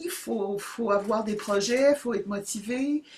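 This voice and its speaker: A woman at a fairly slow pace, lively in intonation, over noticeable background noise. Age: 70s. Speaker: YouTuber starting a channel. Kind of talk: casual monologue to camera. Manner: halting, many hesitations.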